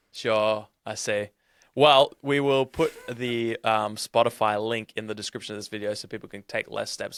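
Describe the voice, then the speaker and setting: In an Australian accent, the speaker talks with a monotone, flat intonation, the sound dry and close with no echo. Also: man. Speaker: podcast host. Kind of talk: casual interview chat.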